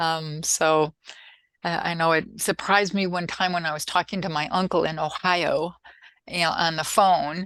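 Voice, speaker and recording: A woman's fairly low-pitched voice with an American accent, monotone and flat in intonation, at a moderate pace, on a very clean recording with a silent background. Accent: Minnesota accent, occasional. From US Midwest, Minnesota. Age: 70s. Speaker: soil scientist. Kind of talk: casual interview. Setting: podcast interview.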